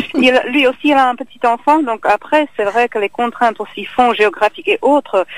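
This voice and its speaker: A woman with a slight Czech accent, high in pitch with lively intonation, at a moderate pace, in a dry, close sound with no echo and noticeable background noise. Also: hardly any pauses. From Czech Republic. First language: Czech (speaking French). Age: young. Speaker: actress and singer. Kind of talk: interview. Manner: halting.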